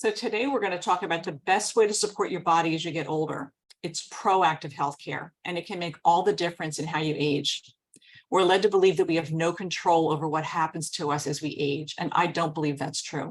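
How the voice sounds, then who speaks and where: With an American accent, a woman speaks in an ordinary speaking voice at a fairly quick pace, fairly low in pitch with ordinary pitch variation. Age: 60s. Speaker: wellness product presenter. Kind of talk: sales presentation.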